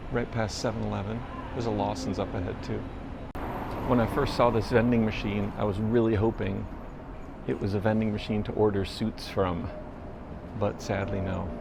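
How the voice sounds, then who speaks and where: A man's fairly low voice with an American accent, moderate pace, fairly even intonation and long, frequent pauses, over noticeable background noise with audible room echo. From United States. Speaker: travel vlogger. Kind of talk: walking vlog narration. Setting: outdoors on city streets. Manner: low, quiet voice. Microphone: pocket camera built-in microphone.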